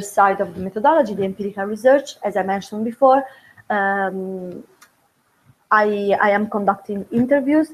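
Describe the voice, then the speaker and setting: At a fairly quick pace, a woman talks at a medium pitch with ordinary pitch variation. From Italy. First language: Italian. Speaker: doctoral researcher. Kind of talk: academic presentation. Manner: halting, many fillers.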